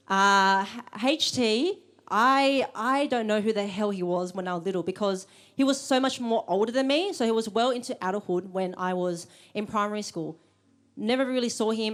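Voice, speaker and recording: A woman with an Australian accent speaks at a fairly quick pace in a fairly high pitch with ordinary pitch variation, on a very clean recording with a silent background. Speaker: event host. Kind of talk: live event introduction. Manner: halting.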